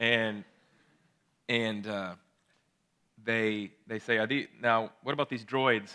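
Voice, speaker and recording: A man speaks in a fairly low pitch with a bright, sharp tone. His intonation stays flat and monotone. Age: 30s. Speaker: pastor. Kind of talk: sermon. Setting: church.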